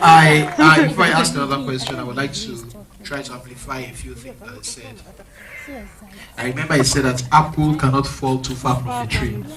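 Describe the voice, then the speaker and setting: A man at medium pitch talks at a fairly quick pace with fairly even intonation and big swings in loudness. Audible room echo and noticeable background noise fill the recording. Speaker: pastor. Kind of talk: interview in church. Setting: church. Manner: halting.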